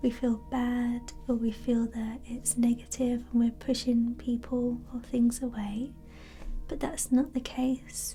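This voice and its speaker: With music in the background, the speaker talks very slowly in a gentle, soothing tone. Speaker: reiki practitioner / energy healer. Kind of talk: ASMR reiki energy healing session, guided. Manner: soft-spoken, gentle, slow, soothing.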